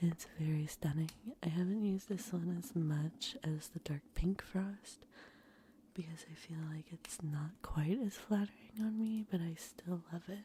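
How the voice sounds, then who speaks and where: A soft-spoken woman with a dark, mellow tone, fairly low in pitch and somewhat breathy, at a fairly slow pace with ordinary pitch variation. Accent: American. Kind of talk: ASMR makeup collection show-and-tell, casual talk to camera.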